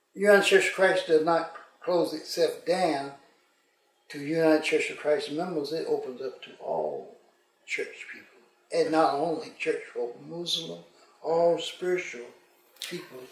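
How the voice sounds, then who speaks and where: A man speaks at a fairly slow pace with long, frequent pauses. Audible room echo fills the recording. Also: big swings in loudness. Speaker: retired pastor. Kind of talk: casual interview.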